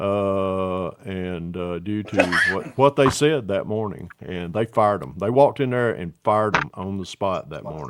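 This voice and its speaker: Lively intonation and a fairly slow pace, with a Southern US accent. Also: man, fairly low pitch for a man, big swings in loudness. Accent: Southern US (Georgia). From US South, Atlanta area, Georgia. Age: 60s. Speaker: scale model builder, livestream host. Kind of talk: casual chat.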